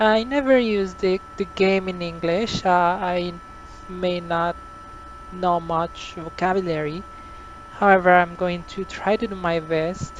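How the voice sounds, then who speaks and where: Amid noticeable background noise, a woman with a Spanish accent talks at a fairly slow pace in a medium pitch with fairly even intonation. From Costa Rica. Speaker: flight simulator tutorial creator. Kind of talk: tutorial. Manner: halting, many fillers.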